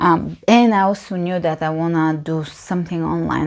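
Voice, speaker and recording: A woman speaks at a fairly low pitch in a Bulgarian accent. Her intonation is fairly even. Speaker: yoga teacher. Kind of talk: casual Q&A monologue. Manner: hesitant, filler-heavy.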